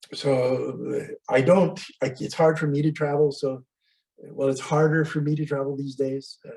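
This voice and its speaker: A man speaks with an American accent, his pitch fairly high for a man. His tone is dark and mellow, somewhat breathy. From US, California-Mexico border. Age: 70s. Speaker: astrologer. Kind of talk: casual interview.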